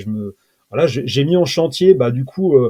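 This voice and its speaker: The man's voice carries a dark, mellow tone. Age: 40s. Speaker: SEO freelancer and automation trainer. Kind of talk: interview.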